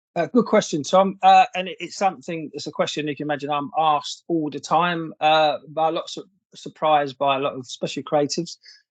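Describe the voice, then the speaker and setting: Speaking at a fairly quick pace, a man with a southern English accent has a fairly high pitch and ordinary pitch variation. His loudness swings widely against a quiet background. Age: 60s. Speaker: former advertising creative director. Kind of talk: casual interview chat.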